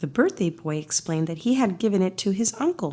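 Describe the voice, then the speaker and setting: At a moderate pace, the voice is somewhat breathy, with a calm, soothing tone, a dark, mellow tone and very wide pitch swings. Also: woman. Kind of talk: bedtime story read-aloud.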